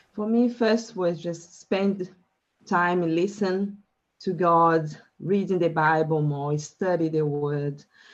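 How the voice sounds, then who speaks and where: A woman's fairly low voice in a Brazilian Portuguese accent at a very slow pace, with ordinary pitch variation. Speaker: life coach. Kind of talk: interview. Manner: halting.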